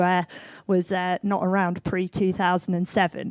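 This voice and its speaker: A woman in an English accent talks at a fairly quick pace with a medium pitch on a very clean recording with a silent background. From England. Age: 40s. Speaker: music tech entrepreneur. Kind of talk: conference talk. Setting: stage with audience.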